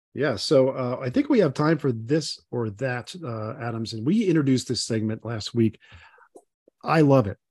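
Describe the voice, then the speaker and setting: A somewhat breathy man speaks at a medium pitch and a moderate pace with ordinary pitch variation. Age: 60s. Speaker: podcast host, gastroenterologist and automotive journalist. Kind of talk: casual chat.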